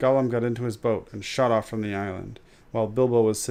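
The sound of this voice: In an unforced reading voice, the speaker keeps a fairly even intonation.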